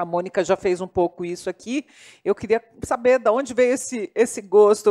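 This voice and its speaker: Woman's dark, mellow tone at a moderate pace, dry and close with no echo. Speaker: moderator, journalist. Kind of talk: panel discussion. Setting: live panel with online chat.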